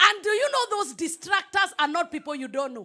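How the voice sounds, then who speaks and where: A woman's raised, projected voice, animated, with a bright, sharp tone and very wide pitch swings. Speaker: pastor. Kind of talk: sermon.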